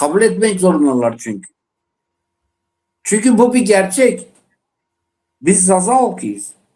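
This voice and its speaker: Speaking very slowly with an Eastern Anatolian accent, a man with a high pitch and a dark, mellow tone uses lively intonation. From Dersim (Tunceli), eastern Turkey. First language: Zazaki (speaking Turkish). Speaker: panel guest, Zaza activist. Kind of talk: panel discussion on live TV. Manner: impassioned, emphatic.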